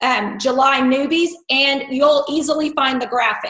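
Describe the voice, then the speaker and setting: A woman with a high pitch speaks amid audible room echo. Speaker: network marketing team leader. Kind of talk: team conference call. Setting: conference call.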